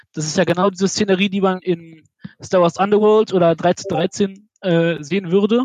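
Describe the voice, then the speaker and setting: A man's high-pitched voice with ordinary pitch variation, in a dry, close sound with no echo. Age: 20s. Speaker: university student, podcast community member. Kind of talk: casual chat.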